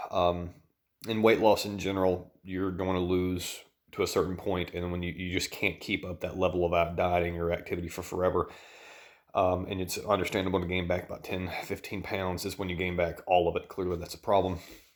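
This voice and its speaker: A man speaks quietly in a Southern US accent at a fairly quick pace. His very deep, low voice stays monotone and flat. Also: very clean recording, silent background. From US South. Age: 30s. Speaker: dietitian and vlogger. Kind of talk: personal vlog. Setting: at home at night.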